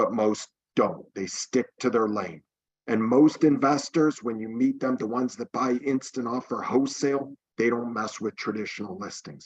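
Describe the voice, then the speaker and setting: At a moderate pace, a normal speaking voice talks with ordinary pitch variation. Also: man, medium pitch for a man. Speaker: real estate team leader. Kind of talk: webinar presentation.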